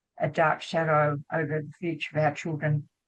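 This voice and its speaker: With an Australian accent, a woman speaks at a moderate pace in a very deep, low pitch. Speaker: doctor, anti-war medical association president. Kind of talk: panel discussion. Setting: video call webinar. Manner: hesitant.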